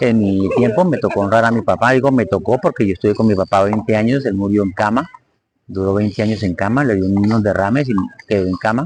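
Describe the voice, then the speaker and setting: A man talks at a very fast pace in a fairly low pitch, with ordinary pitch variation and very even loudness. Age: 60s. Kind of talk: live-stream talk on psychology and faith.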